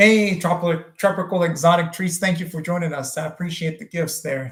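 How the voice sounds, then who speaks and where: A man's voice, high in pitch. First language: French. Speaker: plastic surgeon. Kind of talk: live stream Q&A. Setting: live stream. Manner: frequent fillers and hesitations.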